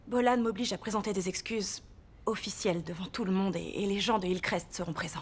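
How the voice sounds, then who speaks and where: A woman's unremarkable speaking voice, medium in pitch, fairly quick and fairly even in intonation. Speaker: voice actor. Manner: awkward, apologetic, conversational.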